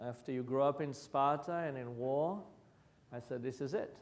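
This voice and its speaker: With an Israeli accent, a man speaks at a fairly high pitch with ordinary pitch variation, and audible room echo is present. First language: Hebrew. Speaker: violence prevention practitioner. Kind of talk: lecture.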